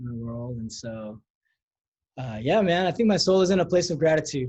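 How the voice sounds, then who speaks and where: Somewhat breathy with a dark, mellow tone, a man in a Californian accent speaks at a moderate pace with very wide pitch swings and big swings in loudness. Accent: Californian American English. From Los Angeles, US. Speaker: pastor. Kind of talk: casual interview chat. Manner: casual, slangy.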